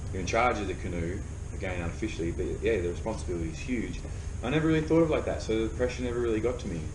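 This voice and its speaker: With an Australian accent, a man speaks very fast at a fairly low pitch with lively intonation, over noticeable background noise and audible room echo. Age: 30s. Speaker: professional paddler. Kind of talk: casual chat. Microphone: poor sound quality.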